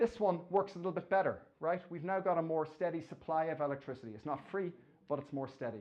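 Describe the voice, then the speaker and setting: A man's high voice in an Irish accent at a very fast pace, with ordinary pitch variation. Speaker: engineering professor. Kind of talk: lecture. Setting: stage with audience. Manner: halting.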